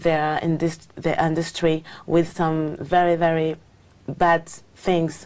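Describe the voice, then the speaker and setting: In a French accent, a woman with a dark, mellow tone speaks at a fairly slow pace. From France. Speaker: English exam candidate. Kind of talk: speaking exam interview. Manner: halting, many fillers.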